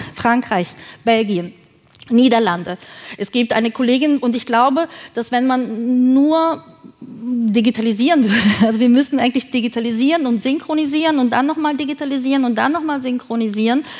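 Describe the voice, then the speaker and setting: Noticeable background noise sits under a woman's high-pitched voice, which has ordinary pitch variation. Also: moderate pace. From Thuringia, Germany. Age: 40s. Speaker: film producer. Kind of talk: keynote talk. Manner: halting, many fillers.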